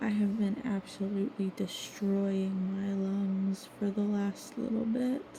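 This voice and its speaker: A woman's medium-pitched, dark, mellow voice, somewhat breathy, with fairly even intonation and a very slow pace. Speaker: vlogger painting on stream. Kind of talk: casual monologue. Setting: at home.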